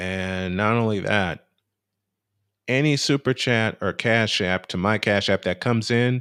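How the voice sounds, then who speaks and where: Recorded very cleanly over a silent background, a man talks at a fairly slow pace in a fairly low pitch with ordinary pitch variation. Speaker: basketball streamer. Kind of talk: live stream chat. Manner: quiet.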